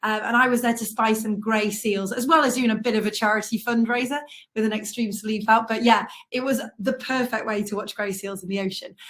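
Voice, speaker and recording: Fairly high in pitch, a woman's voice sounds somewhat breathy. Her intonation stays fairly even. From North Wales. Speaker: travel writer. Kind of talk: illustrated travel talk. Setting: online live event.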